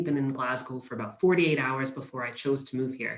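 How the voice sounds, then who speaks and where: Speaking very fast with an American accent, a man keeps a medium pitch and fairly even intonation. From US, Pennsylvania. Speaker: university recruitment manager. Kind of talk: webinar presentation.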